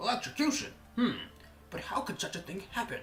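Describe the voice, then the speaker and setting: Over clear background noise, a man does a put-on character voice at an extremely high pitch and a fairly quick pace. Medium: game stream. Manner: bumbling, naive.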